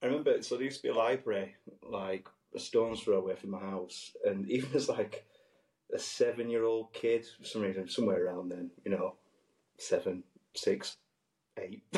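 A man speaks with a strong West Yorkshire accent. He leaves long, frequent pauses. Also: moderate pace. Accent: thick West Yorkshire. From northern England. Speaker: podcast co-host and musician. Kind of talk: casual chat. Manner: animated.

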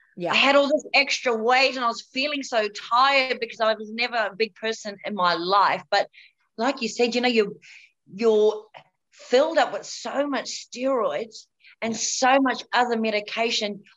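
This woman speaks with a New Zealand accent at a moderate pace. Her voice is high-pitched, with a bright, sharp tone. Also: ordinary pitch variation. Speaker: cancer survivor and model. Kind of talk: interview testimony. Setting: video call.

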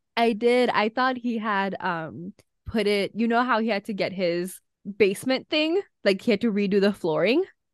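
A woman at medium pitch talks at a moderate pace with ordinary pitch variation in a normal speaking voice. The sound is dry and close, with no echo, over a quiet background. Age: 20s. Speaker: podcast co-host. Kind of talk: casual chat.

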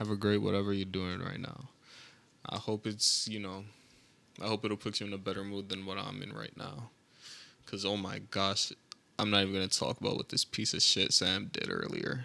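A man with a fairly low voice and a bright, sharp tone. His intonation stays fairly even, broken by long, frequent pauses. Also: moderate pace. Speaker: podcast host. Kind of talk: casual chat. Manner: monotone today.

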